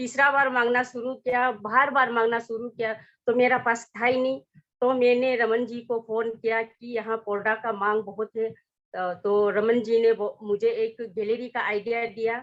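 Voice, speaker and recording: Here is a woman with a high pitch. The background is quiet. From Arunachal Pradesh, Northeast India. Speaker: network marketing distributor and government employee. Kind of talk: success story talk at an online meeting. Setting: online broadcast meeting. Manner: halting, many filler sounds.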